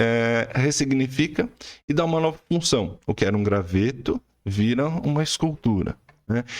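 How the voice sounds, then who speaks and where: A man talks in an unremarkable speaking voice. His intonation is lively. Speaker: art teacher. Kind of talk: tutorial.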